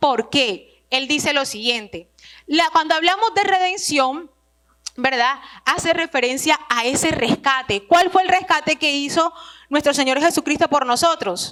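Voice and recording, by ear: A woman's high, fairly bright voice at a fairly slow pace. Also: ordinary pitch variation.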